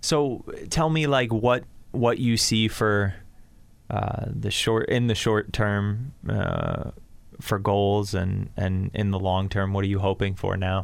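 Speaking with an American accent, a man uses a fairly low pitch with ordinary variation, a very slow pace, and very even loudness. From Connecticut, Bridgeport. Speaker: podcast host. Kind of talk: interview. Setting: studio.

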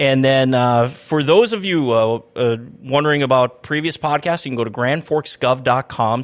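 Speaking at a moderate pace with ordinary pitch variation, this is a normal speaking voice with an American accent. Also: man. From Minnesota. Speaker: city public information officer, podcast host. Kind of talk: casual interview chat. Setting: studio.

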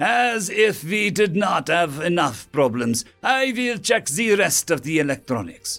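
A man does a put-on character voice, pitched high with big pitch swings, vocal fry and a fairly bright tone. He speaks at a fairly slow pace while faint music plays in the background.

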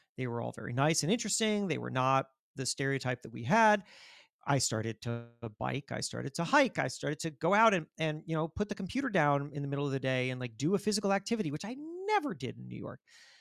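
Talking at a very fast pace with an American accent, a man with a fairly high pitch uses lively intonation in a dry, close sound with no echo. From Florida. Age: 40s. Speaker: magazine editor and author. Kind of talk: interview. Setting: remote call.

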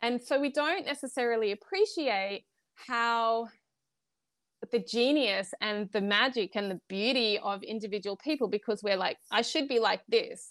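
With an Australian accent, a woman speaks at a moderate pace in a fairly high pitch, the recording very clean with a silent background and a dry, close sound with no echo. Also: ordinary pitch variation. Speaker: wellness coach. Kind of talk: interview.

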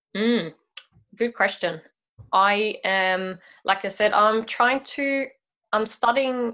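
The tone is bright and sharp, with lively intonation at a very slow pace. The background is quiet. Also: woman. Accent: Swedish. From Sweden. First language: Swedish. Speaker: mobility coach. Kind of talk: interview. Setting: video call.

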